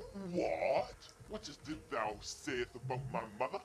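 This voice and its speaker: A man speaks at a fairly slow pace against clear background noise. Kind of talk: comic overacting. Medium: comedy sketch. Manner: loud, hyped, indignant.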